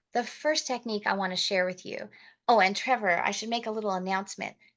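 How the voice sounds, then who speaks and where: Over a quiet background, a woman with an ordinary speaking voice talks at a fairly quick pace, her medium pitch showing ordinary variation. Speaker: motivational speaker and network marketing trainer. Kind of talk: training talk.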